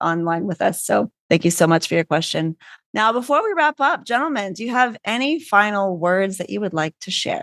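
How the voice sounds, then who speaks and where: Recorded dry and close with no echo over a quiet background, a woman with a Canadian accent speaks at medium pitch and a fairly quick pace in an ordinary speaking voice. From Canada, Vancouver. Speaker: podcast host. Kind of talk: podcast interview Q&A.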